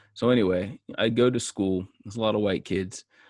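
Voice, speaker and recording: Male speech with an American accent, moderate pace and ordinary pitch variation. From US South, Georgia (Marietta). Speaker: musician. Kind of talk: solo podcast monologue. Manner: halting, many fillers.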